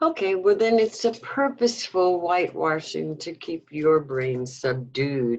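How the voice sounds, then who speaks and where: Speaking at a fairly slow pace, a woman with a New York accent uses very wide pitch swings. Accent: New York American. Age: 70s. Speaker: former activist. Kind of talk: interview.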